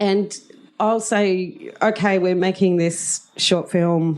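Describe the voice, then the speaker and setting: A woman talks with an Australian accent. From rural Australia. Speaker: drama teacher. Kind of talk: interview. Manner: loud; energetic.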